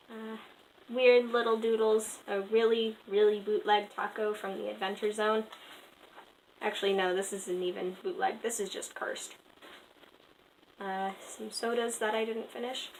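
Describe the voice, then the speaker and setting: Long, frequent pauses break up a woman's fairly high, monotone, flat speech against noticeable background noise. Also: moderate pace. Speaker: art youtuber. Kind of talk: casual sketchbook commentary. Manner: stutter; halting, many fillers.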